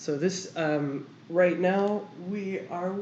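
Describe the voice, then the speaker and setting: A woman's voice carries audible room echo. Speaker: artist streamer. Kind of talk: casual chat. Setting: livestream.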